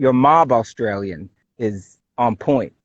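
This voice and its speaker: A man speaks at a medium pitch. He has a Brooklyn accent. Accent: Brooklyn New York. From New York City (Brooklyn). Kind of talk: casual chat.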